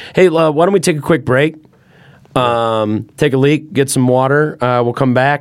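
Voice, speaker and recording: At a moderate pace, a man with an unremarkable speaking voice talks at a fairly high pitch, with ordinary pitch variation and very even loudness. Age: 30s. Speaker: podcast host and musician. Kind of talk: casual chat. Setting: studio.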